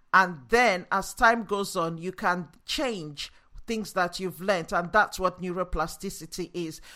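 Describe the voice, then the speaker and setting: The speaker has a Nigerian accent, a bright, sharp tone, and an enthusiastic tone, with ordinary pitch variation at a fairly slow pace. The recording is very clean, with a silent background. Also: woman, medium pitch for a woman. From Nigeria, after early childhood in Yorkshire. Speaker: neuroscience-based leadership coach. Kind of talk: solo educational podcast monologue. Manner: enthusiastic, motivational.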